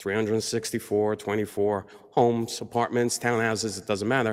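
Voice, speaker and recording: A man speaks at a fairly quick pace. He has a New York accent. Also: very clean recording, silent background. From New York, Long Island. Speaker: public commenter. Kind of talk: public comment at county meeting. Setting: county board meeting.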